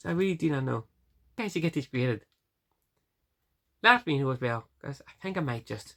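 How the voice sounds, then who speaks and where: A woman with a very deep, low voice speaks in a strong Northern Irish accent. Her pace is fairly quick, yet she takes long, frequent pauses. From Northern Ireland. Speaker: vlogger. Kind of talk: casual vlog. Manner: fast; halting.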